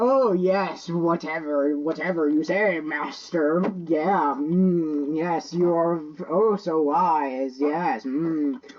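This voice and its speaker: A put-on character voice at a very slow pace. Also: woman, fairly low pitch for a woman. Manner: sarcastic, dismissive, mocking.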